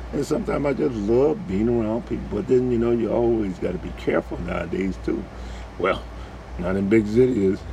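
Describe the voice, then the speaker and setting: Fairly quick speech from a man, plus audible room echo and noticeable background noise. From New Orleans, Desire housing project. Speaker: vlogger. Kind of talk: casual monologue.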